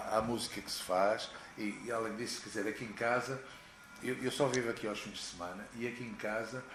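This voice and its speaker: A medium-pitched male voice at a fairly quick pace, with fairly even intonation, audible room echo and music in the background. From Portugal, Porto. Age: 60s. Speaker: rock singer. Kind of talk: interview. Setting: at home.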